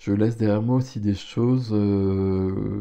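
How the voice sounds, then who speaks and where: A man's fairly low, dark and mellow voice with fairly even intonation against a quiet background. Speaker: tarot reader. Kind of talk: tarot reading. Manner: hesitant, with fillers.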